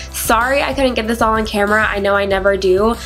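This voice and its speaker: A woman talks at a very fast pace in an upbeat tone, her pitch medium. Music plays in the background. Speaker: beauty vlogger. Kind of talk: makeup tutorial voiceover. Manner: casual, upbeat.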